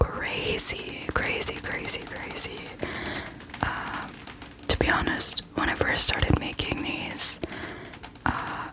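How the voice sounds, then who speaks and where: Someone is whispering at a very slow pace. Noticeable background noise is present. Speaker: ASMR creator. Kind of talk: ASMR whispered book ramble. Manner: whispered.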